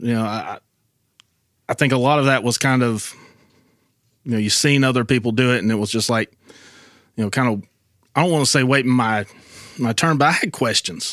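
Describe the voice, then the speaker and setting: A man with an Appalachian accent and a medium pitch talks at a fairly quick pace with ordinary pitch variation and long, frequent pauses. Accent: Appalachian Southern US. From western North Carolina, Robbinsville. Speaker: podcast guest sharing testimony. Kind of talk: personal testimony.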